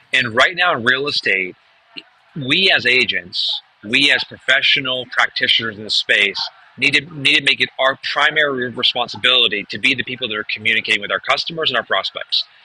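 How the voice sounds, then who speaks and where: This man with an American accent speaks at a fairly quick pace, medium in pitch with ordinary pitch variation. The sound is dry and close with no echo, though noticeable background noise comes through. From New Hampshire, US. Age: 40s. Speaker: real estate marketing trainer. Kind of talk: webinar presentation. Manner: fast.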